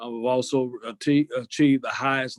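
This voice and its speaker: Dry and close with no echo, a man with a Southern US accent speaks in a flat, monotone delivery. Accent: Southern US (Georgia). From US South, Lawrenceville, Georgia. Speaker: sheriff candidate, retired police officer. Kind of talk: interview. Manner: hesitant, many fillers.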